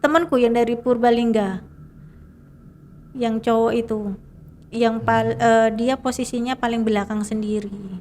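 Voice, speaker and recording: A woman's fairly high voice, fairly even in intonation and fairly slow, with long, frequent pauses. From Indonesia, East Java. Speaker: mountain hiker. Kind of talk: interview answer.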